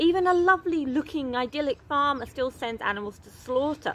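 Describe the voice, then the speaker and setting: This voice, with an English accent, moves at a moderate pace. Its pitch swings very widely. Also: woman. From England. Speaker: animal rescue charity founder. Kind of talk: casual vlog reading and answering an email. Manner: animated.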